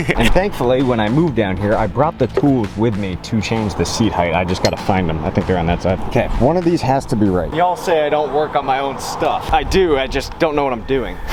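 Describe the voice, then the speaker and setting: Over music in the background and with audible room echo, a man talks at a fairly quick pace with hardly any pauses and very wide pitch swings. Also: medium pitch for a man. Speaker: car vlogger. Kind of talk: casual vlog talk. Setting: car workshop. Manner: animated.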